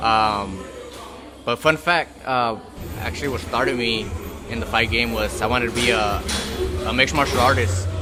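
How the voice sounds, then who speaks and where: Soft-spoken, a man talks at a moderate pace and medium pitch with lively intonation and long, frequent pauses while music plays in the background. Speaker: amateur boxer. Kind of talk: interview answer.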